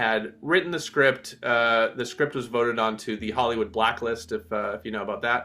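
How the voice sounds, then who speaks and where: A man with an American accent speaks at a medium pitch and a moderate pace, with hardly any pauses. His pitch varies in an ordinary way, and music plays in the background. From United States. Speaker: film director and classical violinist. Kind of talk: interview.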